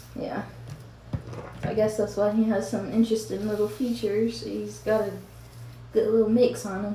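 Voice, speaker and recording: With a slight Southern US accent, a woman speaks at a moderate pace with long, frequent pauses, and audible room echo surrounds her voice. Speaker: mom vlogger. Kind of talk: casual get-ready-with-me vlog. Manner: casual, chatty with fillers.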